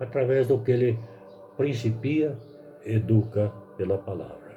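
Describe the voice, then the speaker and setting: Music plays in the background as a man speaks at a medium pitch and a fairly slow pace. There is audible room echo, and his pitch varies in an ordinary way. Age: 70s. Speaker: lay preacher. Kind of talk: sermon.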